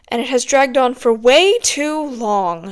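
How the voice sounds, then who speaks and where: A woman puts on a growling character voice, pitched high, with lively intonation. She keeps a moderate pace. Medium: read story. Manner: irritable, growling.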